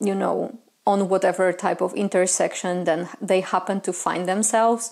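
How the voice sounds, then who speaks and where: A woman with a Polish accent, medium pitch, vocal fry, fairly even intonation and a fairly slow pace. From Poland. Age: 30s. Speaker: witchcraft content creator. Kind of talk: community discussion monologue. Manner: hesitant, many filler sounds.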